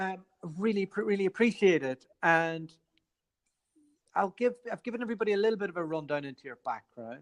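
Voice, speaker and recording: The speaker has an Irish accent and talks at a fairly quick pace. Long pauses come often. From Ireland. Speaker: podcast host. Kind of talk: interview conversation.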